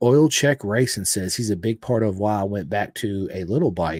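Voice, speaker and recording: The recording is very clean with a silent background. A man with a fairly low pitch talks at a moderate pace with ordinary pitch variation. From Florida. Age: 40s. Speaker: podcast host. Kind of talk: casual chat. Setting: live podcast.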